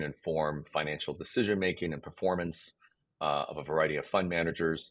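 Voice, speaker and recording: Very deep and low in pitch with ordinary variation, a man talks at a fairly quick pace with vocal fry. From South Korea. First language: Korean. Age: 50s. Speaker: game studio CEO. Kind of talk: podcast interview. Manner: hesitant with fillers.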